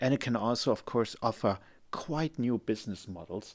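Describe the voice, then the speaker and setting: A man with a German accent at a moderate pace, with ordinary pitch variation, in a very clean recording with a silent background. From Germany. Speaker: lawyer and podcast host. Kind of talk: solo podcast monologue. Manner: casual, friendly.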